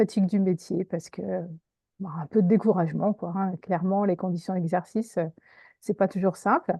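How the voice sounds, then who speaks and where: A woman speaks with fairly even intonation and a somewhat breathy sound, leaving long, frequent pauses. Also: medium pitch for a woman, moderate pace. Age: 50s. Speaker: career coach, former teacher. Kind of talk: interview. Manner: hesitant, many fillers.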